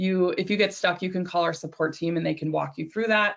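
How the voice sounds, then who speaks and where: This woman has a fairly low pitch and fairly even intonation. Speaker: software company representative presenting to insurance brokers. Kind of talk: product demo webinar. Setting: webinar. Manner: fast.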